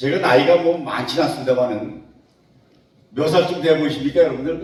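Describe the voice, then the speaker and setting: Audible room echo and noticeable background noise surround this man's voice. His pitch is fairly high, with ordinary variation. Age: 80s+. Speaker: retired civil servant and lecturer. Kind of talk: lecture. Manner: casual, conversational.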